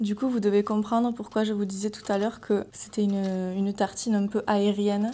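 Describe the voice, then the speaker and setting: This is an unremarkable speaking voice from a woman at medium pitch. She keeps a moderate pace. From southern France. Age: 20s. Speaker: food content creator. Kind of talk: casual cooking talk to camera. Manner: upbeat, cheerful.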